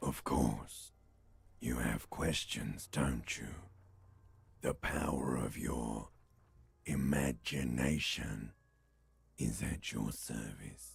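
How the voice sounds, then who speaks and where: Using a put-on character voice, a man speaks very slowly in a very deep, low pitch, with long, frequent pauses. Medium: video game. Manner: sly, theatrical.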